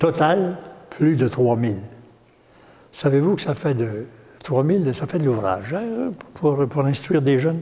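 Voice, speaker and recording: A man talks with lively intonation in a somewhat breathy, dark, mellow tone. Long, frequent pauses break his speech, and the room echo is audible. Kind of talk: lecture. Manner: halting.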